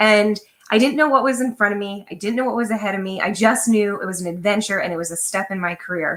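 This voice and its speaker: This woman has a normal speaking voice, fairly high in pitch, with ordinary pitch variation. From Pennsylvania (Lancaster). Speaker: storyteller. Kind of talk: personal storytelling.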